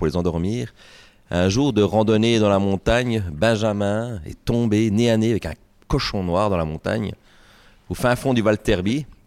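A man speaks in a normal speaking voice at a fairly slow pace. His pitch is fairly low with ordinary variation, on a very clean recording with a silent background. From Ajoie, Jura, Switzerland. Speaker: beer sales rep. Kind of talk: casual interview. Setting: brewery.

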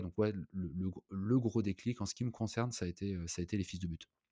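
A man's fairly low voice at a fairly quick pace with fairly even intonation, dry and close with no echo, in a very clean recording with a silent background. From Brittany (Rennes, Saint-Malo). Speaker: hotel entrepreneur. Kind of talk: casual interview. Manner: halting, many fillers.

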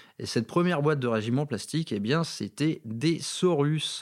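With a slight northern French accent, a man speaks at a fairly slow pace in a fairly high pitch with ordinary variation. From northern France, Valenciennes. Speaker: wargaming podcaster. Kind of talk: casual monologue. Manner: unscripted, hesitant.

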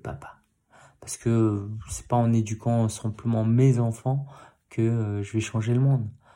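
A man's medium-pitched, somewhat breathy voice with a dark, mellow tone, at a very slow pace, in a very clean recording with a silent background. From Paris, Belleville. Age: 30s. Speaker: podcast host, new father. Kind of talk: personal monologue. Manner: hesitant, many fillers.

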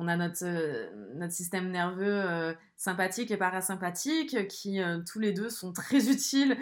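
Speaking fairly slowly, a woman uses a medium pitch. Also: lively intonation. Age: 20s. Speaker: podcaster. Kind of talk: solo monologue. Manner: casual, with frequent hesitations.

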